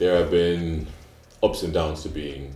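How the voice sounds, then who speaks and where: Room echo is audible as a man talks at a moderate pace. His pitch is very deep and low. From Nigeria. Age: 20s. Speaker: student. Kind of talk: casual discussion.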